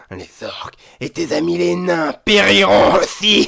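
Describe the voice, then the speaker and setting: Hoarse and at a fairly slow pace, a man performs a put-on character voice. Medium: read story. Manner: calm, menacing.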